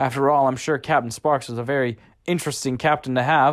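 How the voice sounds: The reading comes in a natural reading voice.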